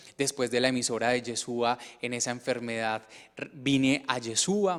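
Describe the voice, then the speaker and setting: Fairly even in intonation, a man speaks at a medium pitch. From Colombia, Medellín. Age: 30s. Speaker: testimony speaker. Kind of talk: testimony. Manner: halting.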